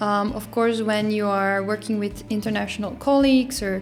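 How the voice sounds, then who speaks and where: A woman speaks with a Dutch accent while music plays in the background. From Netherlands. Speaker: YouTuber. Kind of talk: casual vlog.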